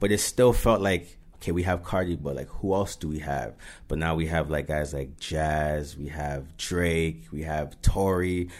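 Very deep, low male voice in a Toronto accent, at a moderate pace with ordinary pitch variation. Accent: Toronto-area Canadian English. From Mississauga, Ontario. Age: 20s. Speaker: rapper. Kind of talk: interview.

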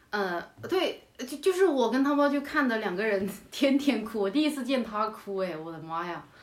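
With audible room echo, a woman talks at a moderate pace with hardly any pauses. Her fairly high voice swings very widely in pitch. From Yunnan, China. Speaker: stand-up comedian. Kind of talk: casual chat. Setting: remote call recording.

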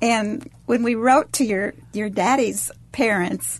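A woman speaks at a very slow pace with ordinary pitch variation. Her voice is somewhat breathy. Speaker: adoptive mother. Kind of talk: personal conversation.

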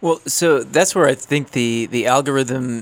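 A man talks at a moderate pace with a slight Canadian accent. His pitch variation is ordinary. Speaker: guest co-host. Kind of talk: casual discussion.

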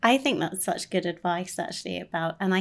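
A woman's unremarkable speaking voice at a medium pitch and fairly quick pace, on a very clean recording with a silent background. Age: 40s. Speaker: managing editor. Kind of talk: casual chat.

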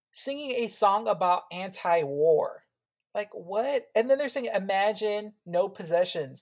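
Her pitch medium and her intonation lively, a woman speaks at a fairly slow pace. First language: Spanish. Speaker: podcast host. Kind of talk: casual chat. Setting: remote call.

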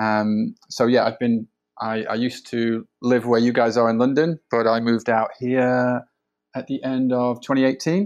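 In a Yorkshire accent, a man talks with fairly even intonation. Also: medium pitch for a man, moderate pace, quiet background. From northern England, Sheffield. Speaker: digital strategy consultant. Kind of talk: podcast interview. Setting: remote call from home.

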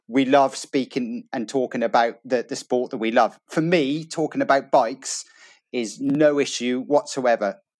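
At a moderate pace and medium pitch, a man with an ordinary speaking voice uses ordinary pitch variation, captured in a very clean recording with a silent background. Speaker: co-host and race commentator. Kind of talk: casual interview chat.

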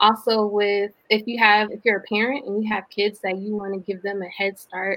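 Here a woman speaks with an American accent at a medium pitch. Her intonation is monotone and flat, and her pace is moderate. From US South, Atlanta, Georgia. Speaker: social entrepreneur. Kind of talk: interview.

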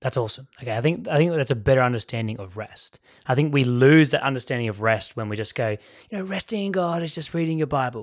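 A man with a Sydney accent talks at a very fast pace, hardly pausing, his medium-pitched voice full of lively intonation. The recording is very clean with a silent background. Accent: posh Sydney Hills. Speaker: podcast host, school teacher. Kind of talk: casual chat; scripted outro. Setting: studio.

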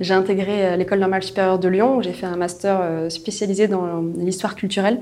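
Monotone, flat female voice of medium pitch, with audible room echo. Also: fairly quick pace. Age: 20s. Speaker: corporate innovation manager. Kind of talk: interview.

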